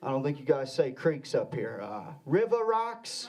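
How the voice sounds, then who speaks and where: Man with a Southern US accent, fairly slow pace and very wide pitch swings. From Arkansas. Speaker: comedian. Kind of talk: stand-up. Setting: stage with audience.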